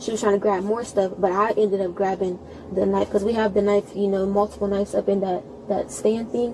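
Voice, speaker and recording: Noticeable background noise sits behind a woman speaking at a fairly quick pace. Her medium-pitched voice stays monotone and flat. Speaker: witness, sibling of shooting victim. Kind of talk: police witness statement. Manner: fast.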